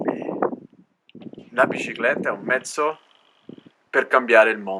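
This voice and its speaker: A man speaks at a medium pitch with ordinary pitch variation. His loudness swings widely, and his pace is fairly slow. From Alto Adige, Italy. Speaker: cycle traveller. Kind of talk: interview. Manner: concise.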